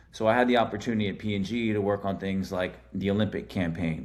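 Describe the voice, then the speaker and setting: With an American accent, the speaker has an animated tone and a fairly quick pace, with audible room echo. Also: man. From Houston, Texas. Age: 40s. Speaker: sports marketing executive. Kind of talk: podcast interview. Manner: casual, animated.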